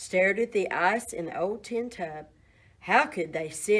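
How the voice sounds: A natural reading voice with ordinary rises and falls in pitch.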